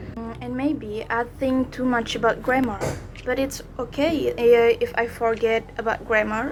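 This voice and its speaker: Music plays behind a woman who talks fairly slowly at a fairly high pitch with fairly even intonation. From Indonesia. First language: Indonesian. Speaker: university student vlogger. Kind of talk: unscripted vlog talk. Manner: halting.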